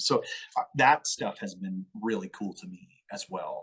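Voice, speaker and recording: The speaker is a man. He has an American accent. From Colorado. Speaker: entrepreneur and musician. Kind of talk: podcast interview. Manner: casual, conversational.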